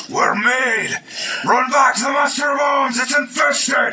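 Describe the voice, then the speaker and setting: A man uses a put-on character voice that is gruff and extremely high-pitched. He projects it loudly at a moderate pace. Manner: alarmed.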